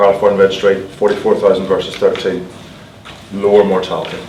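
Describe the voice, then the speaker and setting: Speaking with a Northern Irish accent, a man keeps a moderate pace. Audible room echo and noticeable background noise surround him. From Northern Ireland. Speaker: cardiac surgeon. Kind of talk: lecture.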